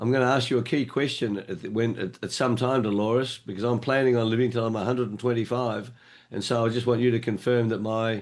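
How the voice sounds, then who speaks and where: Talking at a very fast pace, a man with an Australian accent has a medium pitch. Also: quiet background. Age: 70s. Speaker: online meeting moderator. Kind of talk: meeting moderation. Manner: animated.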